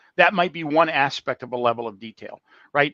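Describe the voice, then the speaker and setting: The sound is dry and close, with no echo. A man speaks at a fairly quick pace with lively intonation. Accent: American. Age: 60s. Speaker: construction technology business development manager. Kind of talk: casual interview on a live call. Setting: online call. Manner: halting, many fillers and restarts.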